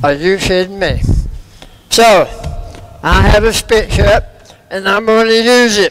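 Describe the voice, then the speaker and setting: Against noticeable background noise, a man with a high pitch talks at a fairly slow pace with ordinary pitch variation and long, frequent pauses. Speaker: cancer survivor speaker. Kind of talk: testimony.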